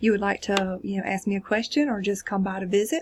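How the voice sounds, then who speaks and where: With a South Carolina accent, a woman speaks fairly quickly in a somewhat breathy, fairly high-pitched voice. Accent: Chester County South Carolina. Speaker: college instructor. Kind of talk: course introduction video. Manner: casual, hesitant fillers.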